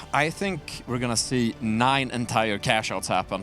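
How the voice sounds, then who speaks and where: A man with a non-native accent at a medium pitch and moderate pace, ordinary pitch variation, and music in the background. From Sweden. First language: not English. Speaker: esports desk host. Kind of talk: live esports broadcast.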